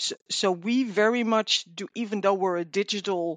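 A woman with a Dutch accent speaks at a very slow pace, with medium pitch and fairly even intonation. The sound is dry and close with no echo, and the background is quiet. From Netherlands. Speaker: customer service manager. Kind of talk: interview. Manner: hesitant, many fillers.

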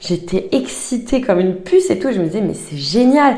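A woman talks at a moderate pace with very wide pitch swings. Noticeable background noise is present. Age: 30s. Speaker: life coach. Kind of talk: casual interview chat. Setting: in person, recorded at a coaching venue.

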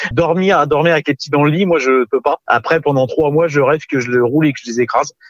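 A man speaks at a very fast pace with fairly even intonation. The sound is dry and close, with no echo. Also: fairly high pitch for a man. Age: 30s. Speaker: father of two. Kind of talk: casual chat.

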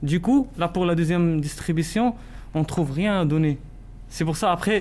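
Speech moves along fairly quickly. Its pitch rises and falls in an ordinary way. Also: man. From Morocco. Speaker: student volunteer. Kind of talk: interview. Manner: halting.

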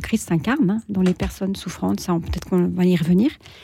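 The recording is very clean, with a silent background. A woman speaks at a medium pitch with a dark, mellow tone. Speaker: retired editor-in-chief, charity president. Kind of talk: radio talk show discussion. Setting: radio studio.

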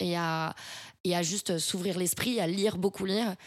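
A woman talks in an ordinary speaking voice at medium pitch with fairly even intonation. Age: 20s. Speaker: marketing strategy consultant. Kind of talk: interview.

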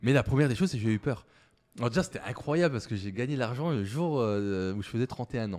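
On a very clean recording with a silent background, a man talks at a fairly quick pace with lively intonation. He has a normal speaking voice at medium pitch. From eastern France, Moselle mining area. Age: 30s. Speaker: startup founder. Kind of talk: interview.

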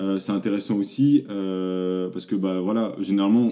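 Fairly low in pitch, a man speaks in a dark, mellow tone with fairly even intonation. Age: 20s. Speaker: e-commerce agency founder. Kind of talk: interview.

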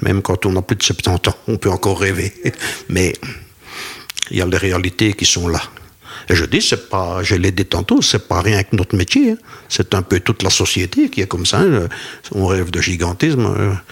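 A man with a very deep, low voice speaks at a moderate pace, with fairly even intonation and long, frequent pauses. Noticeable background noise is present. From Belgian Ardennes. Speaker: retired cattle farmer. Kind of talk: interview.

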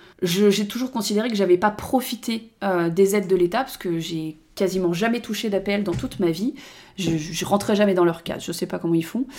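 A medium-pitched woman at a fairly quick pace, with ordinary pitch variation. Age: 30s. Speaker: podcaster. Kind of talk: personal monologue podcast. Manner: casual, hesitant with fillers.

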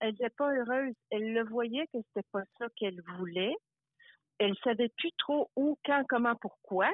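A woman with a plain, everyday voice speaks at a fairly slow pace, her fairly high pitch showing ordinary variation. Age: 60s. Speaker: life coach. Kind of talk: interview.

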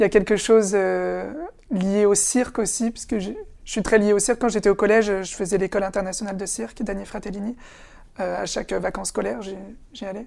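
A woman with a dark, mellow tone speaks with long, frequent pauses and big swings in loudness. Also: medium pitch for a woman, fairly even intonation, fairly quick pace, very clean recording, silent background. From France, Essonne (Paris suburbs). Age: 20s. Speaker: actor. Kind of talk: interview. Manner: halting, with repetitions.

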